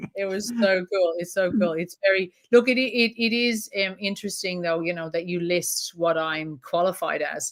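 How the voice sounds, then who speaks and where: A woman with an Irish accent, medium pitch and ordinary pitch variation, at a moderate pace with hardly any pauses. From Ireland. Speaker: trauma counsellor. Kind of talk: interview answer.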